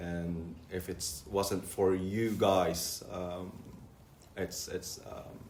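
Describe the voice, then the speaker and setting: In audible room echo, a man with a non-native accent speaks very slowly in a very deep, low pitch with monotone, flat intonation. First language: not English. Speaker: recovering addict sharing at a meeting. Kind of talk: testimony. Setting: church hall meeting with audience. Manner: halting, many fillers and repetitions.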